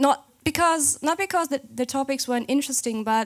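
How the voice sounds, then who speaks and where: A woman speaks in a German accent at a high pitch. Her pace is moderate and her pitch variation ordinary. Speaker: games journalist. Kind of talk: conference talk. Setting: stage with audience. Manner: hesitant, many fillers.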